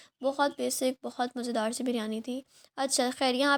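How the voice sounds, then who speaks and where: A high-pitched woman speaks in a monotone, flat intonation on a very clean recording with a silent background. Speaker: vlogger. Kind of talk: vlog voice-over. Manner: hesitant with fillers.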